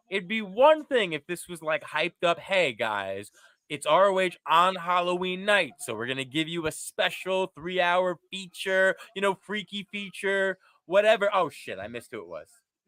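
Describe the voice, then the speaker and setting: A bright, sharp tone with an American accent, lively intonation, big swings in loudness and a moderate pace, in a dry, close sound with no echo. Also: man, high pitch for a man. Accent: faint New York, mostly subdued. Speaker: wrestling podcast co-host. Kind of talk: casual chat.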